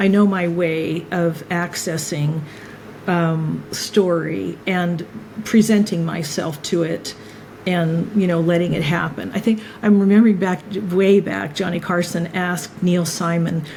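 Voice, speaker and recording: A woman speaks in a fairly low pitch, fairly slowly, with fairly even intonation. Noticeable background noise and audible room echo are present. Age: 60s. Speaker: filmmaker. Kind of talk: interview conversation.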